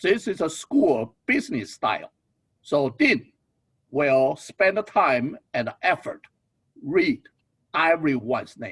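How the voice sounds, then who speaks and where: Pitched high, a man speaks at a very slow pace with very wide pitch swings and long, frequent pauses. The sound is dry and close, with no echo. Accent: non-native. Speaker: business school dean. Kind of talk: ceremony speech.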